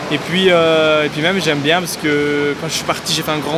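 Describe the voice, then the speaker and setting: Noticeable background noise and audible room echo fill this recording. A man with a fairly high pitch talks at a moderate pace. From France, Loire (near Saint-Étienne). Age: 20s. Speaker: city resident interviewee. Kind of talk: interview testimony. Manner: hesitant.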